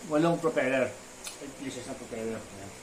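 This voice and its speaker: There is audible room echo and noticeable background noise as a man speaks at a medium pitch with ordinary pitch variation. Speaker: drone hobbyist vlogger. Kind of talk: unboxing tutorial. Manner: stuttering, halting.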